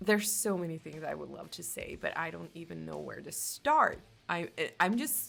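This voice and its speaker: A woman with a Swedish accent at a moderate pace, big swings in loudness, music in the background. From Finland, Swedish-speaking Finn. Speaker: music reaction youtuber and metal vocalist. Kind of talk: casual reaction commentary. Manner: animated, excited.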